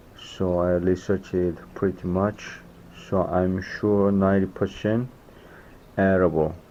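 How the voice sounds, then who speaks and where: A man with a Korean accent speaks at a fairly slow pace in a very deep, low pitch, with a dark, mellow tone, monotone, flat intonation and very even loudness. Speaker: foraging vlogger. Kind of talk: casual vlog narration.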